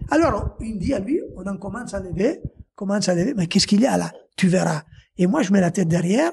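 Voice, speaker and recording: A man talks very fast in a high voice, his intonation lively and his loudness swinging widely, over light background noise. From Italy. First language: Italian (speaking French). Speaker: former rally driver and car dealer. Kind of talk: casual podcast interview storytelling. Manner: animated, with hesitations and restarts. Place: garage. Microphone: handheld.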